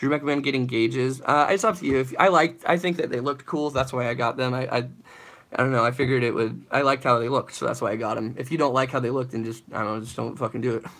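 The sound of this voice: A man's fast delivery at a medium pitch, fairly bright in tone, with fairly even intonation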